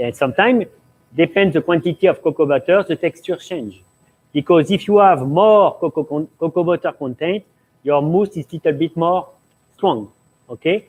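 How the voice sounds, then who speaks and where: A man speaks with a French accent. His pitch is high, and his pace is moderate. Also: ordinary pitch variation. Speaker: pastry chef. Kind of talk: cooking demonstration Q&A. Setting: live stream studio. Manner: halting.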